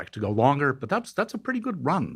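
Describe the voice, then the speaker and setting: Recorded very cleanly against a silent background, a man's voice is somewhat breathy. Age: 60s. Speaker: neuroscientist. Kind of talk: interview.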